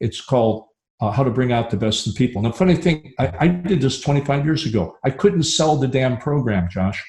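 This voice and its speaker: A man speaks at a medium pitch with a somewhat breathy voice and lively intonation. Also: fairly quick pace. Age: 70s. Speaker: dental consultant and speaker. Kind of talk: live interview.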